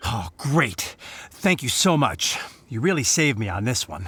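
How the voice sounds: A man's put-on character voice at medium pitch, fairly bright in tone with a husky, rough edge, big pitch swings and a fairly slow pace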